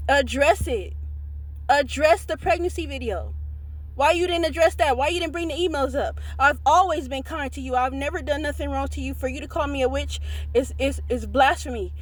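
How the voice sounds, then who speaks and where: An animated tone at a moderate pace, with noticeable background noise. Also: woman. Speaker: social media commentator. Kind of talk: call-out rant.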